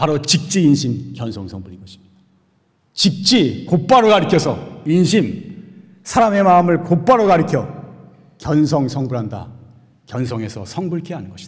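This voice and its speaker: The speaker pauses long and often, with very wide pitch swings and big swings in loudness. Vocal fry runs through the voice. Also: man, fairly high pitch for a man, moderate pace. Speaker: Buddhist monk giving dharma talk. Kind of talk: sermon. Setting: Sunday dharma service.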